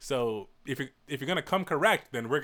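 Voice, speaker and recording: A man speaks in an American accent with a bright, sharp tone and lively intonation. The recording is very clean, with a silent background. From New York (Westchester). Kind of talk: casual chat.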